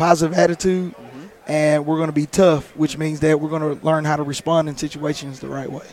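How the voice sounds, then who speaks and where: Over noticeable background noise, a man with a fairly high pitch talks at a fairly quick pace with hardly any pauses, monotone, flat intonation and big swings in loudness. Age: 30s. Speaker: high school football coach. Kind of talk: interview. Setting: convention lounge.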